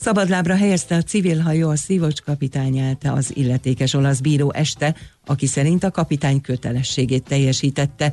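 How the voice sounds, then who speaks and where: A man's fairly high, somewhat breathy voice at a fairly quick pace, with hardly any pauses, ordinary pitch variation, and very even loudness. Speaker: newsreader. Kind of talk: news reading. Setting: radio studio.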